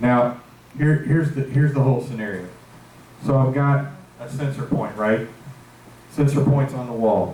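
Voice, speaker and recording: At a moderate pace, a man talks at a medium pitch with fairly even intonation and long, frequent pauses. The recording carries audible room echo and noticeable background noise. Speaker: security supervisor presenting to board. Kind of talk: meeting presentation. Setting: board meeting with microphone.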